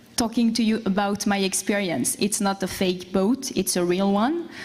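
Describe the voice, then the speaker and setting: A woman with a French accent, medium pitch and ordinary pitch variation, against noticeable background noise. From France. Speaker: boat captain and entrepreneur. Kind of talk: conference presentation.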